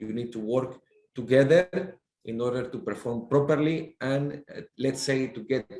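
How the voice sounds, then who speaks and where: Speaking with a Spanish accent, a man with a medium pitch and a dark, mellow tone goes at a fairly slow pace with ordinary pitch variation. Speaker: sea captain and maritime official. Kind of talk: panel discussion. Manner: halting, many fillers.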